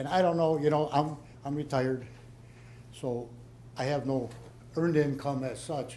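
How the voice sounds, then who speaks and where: In a room with audible echo, a man with a fairly high voice speaks at a moderate pace with fairly even intonation and long, frequent pauses. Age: 70s. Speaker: resident at town meeting. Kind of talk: public Q&A. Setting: town hall meeting.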